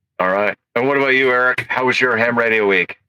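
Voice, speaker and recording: A man at a very fast pace, fairly even intonation and very even loudness, in a dry, close sound with no echo. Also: medium pitch for a man. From Massachusetts.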